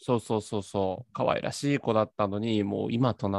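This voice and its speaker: A man speaks at a fairly low pitch and a moderate pace, with fairly even intonation. The sound is dry and close with no echo. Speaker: podcast host. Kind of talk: casual chat. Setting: video call.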